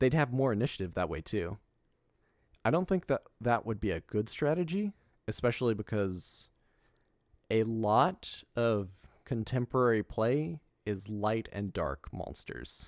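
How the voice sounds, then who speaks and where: A man speaks in a plain, everyday voice at medium pitch and a fairly slow pace, with lively intonation. The recording is very clean with a silent background. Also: dry, close sound with no echo. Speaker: card game streamer. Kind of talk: live stream card review. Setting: live stream.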